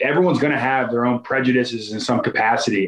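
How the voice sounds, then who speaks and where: Here is a man with an ordinary speaking voice. His pitch is medium, with ordinary variation. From Philadelphia suburbs, US. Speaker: NFL offensive lineman. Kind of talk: interview.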